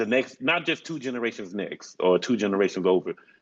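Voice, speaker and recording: A man with a Southern US accent talks at a fairly quick pace. His fairly low pitch shows ordinary variation. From rural South Carolina. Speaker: program graduate, medical trainee. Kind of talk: casual conversation. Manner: loud.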